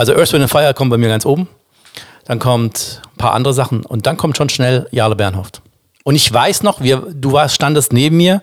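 In an ordinary speaking voice, a man talks at a medium pitch and a moderate pace, with very even loudness and ordinary pitch variation. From Baden, southwest Germany (Offenburg). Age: 50s. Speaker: singer. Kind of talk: casual chat.

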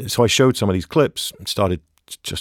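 At a very fast pace, a man with an English accent speaks in a very clean recording with a silent background and a dry, close sound with no echo. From England. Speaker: ecologist and wildlife filmmaker. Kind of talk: interview.

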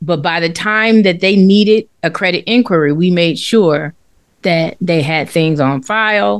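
At a fairly slow pace, an ordinary speaking voice moves with lively intonation. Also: woman, fairly low pitch for a woman. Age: 50s. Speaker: finance podcast co-host. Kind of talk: casual chat.

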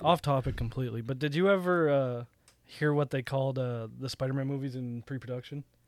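A man with an ordinary speaking voice at medium pitch talks at a fairly quick pace with fairly even intonation, in a dry, close sound with no echo on a very clean recording with a silent background. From Canada. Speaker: podcast co-host. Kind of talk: casual chat.

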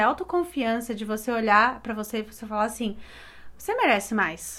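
In a very clean recording with a silent background, a woman with an ordinary speaking voice talks at a fairly high pitch and a moderate pace. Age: 20s. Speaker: graphic designer, podcast co-host. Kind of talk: casual chat.

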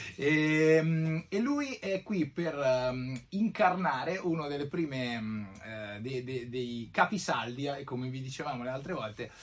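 His intonation is lively and his pitch fairly high for a man. He speaks very slowly. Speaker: podcast host. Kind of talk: casual chat.

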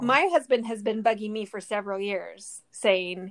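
Delivered in an ordinary speaking voice, the speech moves at a fairly quick pace with ordinary pitch variation. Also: woman. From Southern California. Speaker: podcast co-host, recipe writer. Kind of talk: casual chat.

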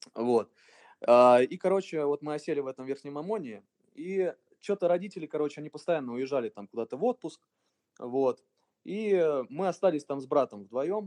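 This man has a fairly high pitch and lively intonation, speaking at a moderate pace with long, frequent pauses. The sound is dry and close, with no echo. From Russia, Voronezh region. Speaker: electronic music producer and DJ. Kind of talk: casual interview.

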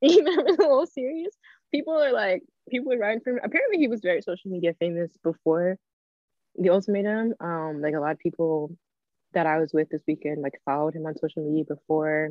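Pitch swings very widely as a woman talks at a very fast pace. Her pitch sits fairly low. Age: 20s. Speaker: podcast co-host and student. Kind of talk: casual chat. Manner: hesitant, many fillers.

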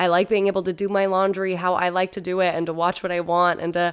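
A woman speaks at a medium pitch in a plain, everyday voice. The recording is very clean, with a silent background. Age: 20s. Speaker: podcast host. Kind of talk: solo monologue. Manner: casual.

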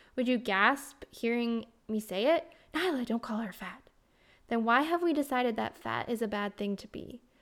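On a very clean recording with a silent background, a woman in an unremarkable speaking voice talks at fairly high pitch and moderate pace with ordinary pitch variation. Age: 30s. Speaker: health and life coach, podcast host. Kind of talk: reading aloud from her memoir.

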